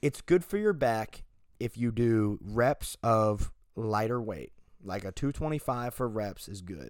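A man in a normal speaking voice, medium pitch with ordinary pitch variation, fairly slow pace, on a very clean recording with a silent background. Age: young. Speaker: podcast co-host, college student. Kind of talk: casual chat.

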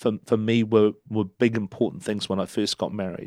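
Here a man with a New Zealand accent talks at a moderate pace, his medium-pitched voice keeping fairly even intonation. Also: dry, close sound with no echo. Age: 50s. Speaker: council candidate and former chamber of commerce CEO. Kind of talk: casual interview.

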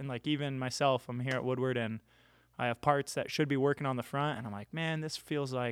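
A plain, everyday voice from a man, pitched in the middle range and carrying ordinary pitch variation. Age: 30s. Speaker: pro scooter rider. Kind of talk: casual chat. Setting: studio.

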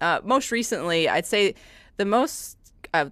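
In a very clean recording with a silent background, a woman with an American accent speaks fairly slowly in an ordinary speaking voice with lively intonation. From US Midwest. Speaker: music professor. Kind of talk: casual chat.

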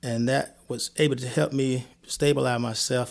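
Recorded very cleanly against a silent background, a man with a Mississippi accent speaks at a medium pitch with fairly even intonation. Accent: Mississippi Southern US. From US South, Columbia, Mississippi. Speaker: guest sharing illness story. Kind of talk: testimony.

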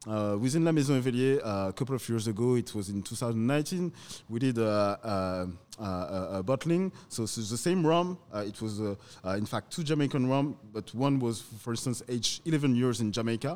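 In a French accent, a man of medium pitch speaks at a fairly quick pace with lively intonation on a very clean recording with a silent background. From France, Paris. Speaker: rum producer or bottler. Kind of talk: casual interview chat. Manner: halting, many hesitations.

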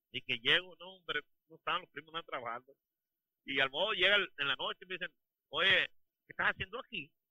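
A man with a high voice talks at a very fast clip, his intonation lively, his loudness swinging widely, and long pauses breaking up his speech often. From Sinaloa, Mexico. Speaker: oilfield truck driver. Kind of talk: casual chat.

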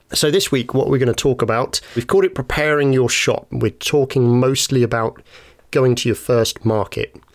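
Here a man speaks in a British accent at medium pitch. His pace is moderate, his intonation fairly even, and his loudness very even. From UK. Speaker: podcast host and woodworker. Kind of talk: casual chat.

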